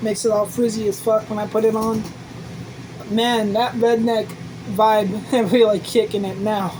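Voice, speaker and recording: In an American accent, a woman with a fairly high pitch speaks at a moderate pace in a relaxed tone and a monotone, flat intonation, leaving long, frequent pauses amid audible room echo and noticeable background noise. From US city. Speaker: vlogger. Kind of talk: casual vlog monologue. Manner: rambling, relaxed.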